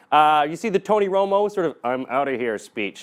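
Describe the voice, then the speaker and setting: A man's animated voice with very wide pitch swings, on a very clean recording with a silent background. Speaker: NFL fantasy picks presenter. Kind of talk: casual video commentary.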